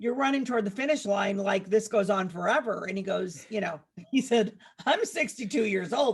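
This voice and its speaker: Her voice is an unremarkable speaking voice at a medium pitch. The woman talks at a fairly quick pace with lively intonation. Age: 60s. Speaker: food blogger and cookbook author. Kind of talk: podcast interview.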